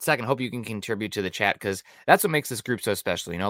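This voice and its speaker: A man speaks in a bright, sharp tone with ordinary pitch variation. The recording is very clean and dry, close with no echo and a silent background. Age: 30s. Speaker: sports podcast host. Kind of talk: casual chat.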